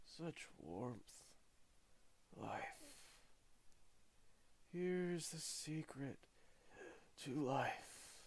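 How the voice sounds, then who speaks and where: A put-on character voice from a man, growling and raspy, fairly high in pitch, at a very slow pace with long, frequent pauses. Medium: read story. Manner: halting, fragmentary, slow.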